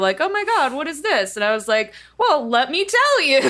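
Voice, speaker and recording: A woman speaks in a raised, projected voice at a fairly quick pace, her pitch swinging very widely over noticeable background noise. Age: 30s. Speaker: voice actor and online singer. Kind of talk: casual chat.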